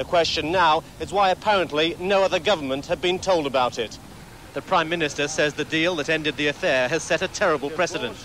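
Against noticeable background noise, a man speaks in a serious tone at a fairly quick pace, his pitch fairly high with ordinary variation. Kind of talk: archive TV news foreign correspondent reporting. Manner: formal, urgent, serious.

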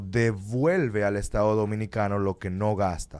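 In a plain, everyday voice, a man speaks at a moderate pace and a fairly low pitch. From Dominican Republic. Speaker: lawyer. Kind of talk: radio interview. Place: studio. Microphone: studio mic.

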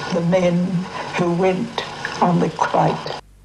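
A woman speaks with an Australian accent at a medium pitch. Her pace is very slow, and there is noticeable background noise. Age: 80s+.

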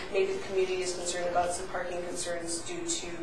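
With audible room echo and noticeable background noise, a woman talks at a fairly quick pace. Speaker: council member. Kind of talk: meeting discussion. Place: meeting room. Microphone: podium.

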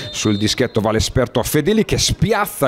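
Noticeable background noise behind a man's fairly high voice with very wide pitch swings. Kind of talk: sports commentary, highlights voiceover.

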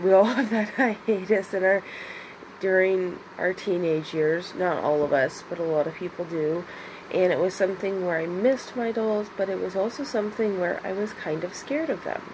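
Against noticeable background noise, a woman talks at a moderate pace. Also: ordinary pitch variation. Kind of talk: casual vlog chat. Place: home room. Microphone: phone near.

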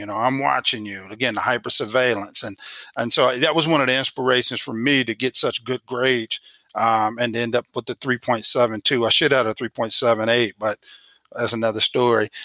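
A man talks at a moderate pace in a medium pitch, his tone bright and sharp. The sound is dry and close with no echo, and his intonation stays fairly even.

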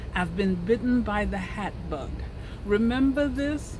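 Over noticeable background noise, a woman speaks at a very slow pace, the sound dry with no echo. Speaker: knitting vlogger. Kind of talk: casual vlog chat. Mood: cheerful, humorous. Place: garden. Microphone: phone near.

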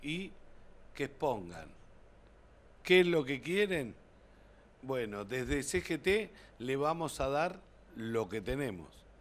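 A man with a fairly high pitch speaks at a very slow pace, his voice making very wide pitch swings between long, frequent pauses. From Argentina, Buenos Aires province. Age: 50s. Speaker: city council candidate, union member, train driver; council candidate. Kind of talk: TV interview. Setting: TV studio. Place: studio. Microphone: podium.

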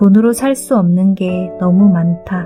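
A woman's calm, soothing tone at a very slow pace, with fairly even intonation and music in the background. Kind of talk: sleep audiobook reading, calm book narration for falling asleep. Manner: soft, calm, soothing, relaxing.

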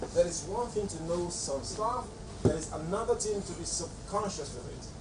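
The man's pace is fairly quick, and noticeable background noise runs underneath. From Nigeria. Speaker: acting coach / artistic director of a talent show. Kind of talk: lecture to trainees. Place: home room. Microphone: camera far.

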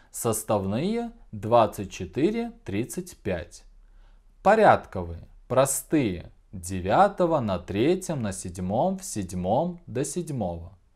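A man talks at a very slow pace in a medium, somewhat breathy voice. His pitch swings very widely on a very clean recording with a silent background. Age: 20s. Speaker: school teacher. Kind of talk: video lesson. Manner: clear, deliberate.

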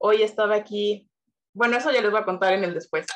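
Here the background stays quiet. A woman talks with fairly even intonation. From Mexico. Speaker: university student. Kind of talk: testimony. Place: home room. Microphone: video call.

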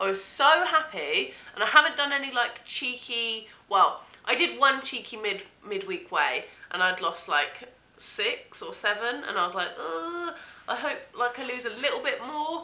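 With an English accent, a woman speaks in a bright, sharp tone at a high pitch, moderate pace and with very wide pitch swings. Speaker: vlogger. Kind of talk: casual vlog.

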